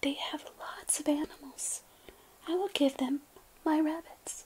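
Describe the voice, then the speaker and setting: A soft-spoken woman whispers at a fairly slow pace over noticeable background noise. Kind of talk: children's bedtime story reading. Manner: soft-spoken, whispering.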